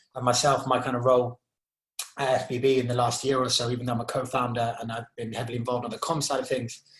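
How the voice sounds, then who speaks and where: A man at a very fast pace with an English accent, medium in pitch. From Zimbabwe. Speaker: charity co-founder and youth mentor. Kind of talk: podcast interview. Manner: hesitant, many fillers.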